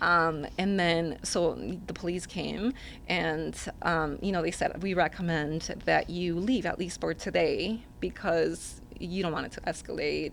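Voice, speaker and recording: A woman speaks in a Spanish accent. Her pace is fairly slow. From Mexico. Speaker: single mother. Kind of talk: interview answer.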